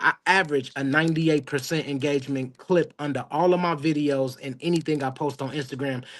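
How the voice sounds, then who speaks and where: A man with an unremarkable speaking voice talks at a fairly high pitch. His pace is fairly quick, with hardly any pauses. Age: 30s. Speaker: barber. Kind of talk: casual chat.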